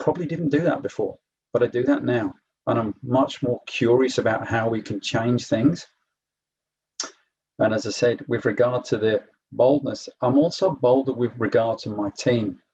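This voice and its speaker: A man with an English accent, medium pitch, a dark, mellow tone, a somewhat breathy quality, ordinary pitch variation and a moderate pace. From England. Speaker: program alumnus, corporate manager. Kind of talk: testimony at online info session.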